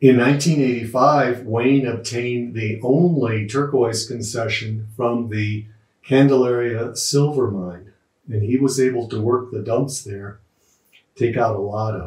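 A very slow, somewhat breathy man's voice with fairly even intonation, audible room echo and a quiet background. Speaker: host introducing an interview. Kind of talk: spoken introduction to camera. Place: home room.

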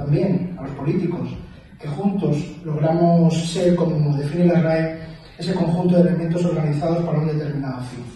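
A man talks at a fairly quick pace in a high pitch, with monotone, flat intonation. Strong room echo and light background noise surround him. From Spain. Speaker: mayor. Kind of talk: formal speech. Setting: council chamber with audience. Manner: formal. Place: hall.

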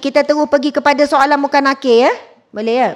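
At a fairly quick pace, a woman talks with a high pitch. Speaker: religious teacher. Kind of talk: sermon. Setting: mosque lecture with live audience. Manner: loud, high-pitched; animated.

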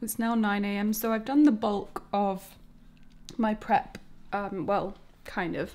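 A woman's monotone, flat voice at a very slow pace. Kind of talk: casual vlog chat. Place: kitchen. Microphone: phone near.

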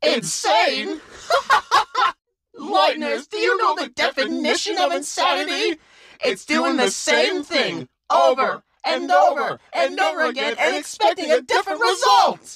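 A high-pitched, put-on character voice carries a playful tone. The pace is moderate. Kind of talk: character voice test. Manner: manic, playful.

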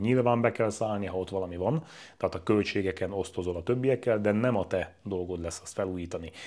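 Over a quiet background, a man with a fairly low pitch talks at a very fast pace. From Hungary. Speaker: real estate agent. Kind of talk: tutorial. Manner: casual. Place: home room. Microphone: lapel.

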